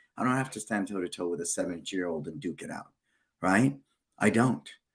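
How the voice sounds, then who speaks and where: With lively intonation and a fairly quick pace, a man talks in an ordinary speaking voice with fairly low pitch. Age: 60s. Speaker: martial arts school owner and business show host. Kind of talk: casual business interview chat. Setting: live stream video call.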